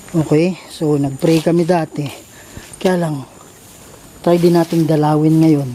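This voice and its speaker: Speaking fairly slowly at a fairly high pitch, a man keeps a flat, monotone intonation with long, frequent pauses. There is noticeable background noise. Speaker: ghost hunter vlogger. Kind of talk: vlog narration on location.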